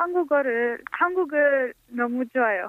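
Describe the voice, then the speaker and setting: A woman's high voice in a French accent at a very slow pace. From France. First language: French (speaking Korean). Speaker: immigrant, Korean-language student. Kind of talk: interview. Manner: halting.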